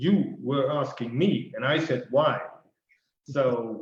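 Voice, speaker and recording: A man's fairly high voice at a very slow pace, with audible room echo. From Netherlands. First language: Dutch. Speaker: financial life planner. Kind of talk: casual interview. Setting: video call.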